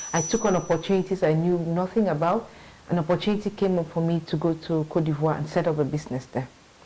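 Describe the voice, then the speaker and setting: Fairly quick speech with fairly even intonation over noticeable background noise. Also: woman. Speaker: marketing manager. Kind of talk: interview. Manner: halting, many fillers.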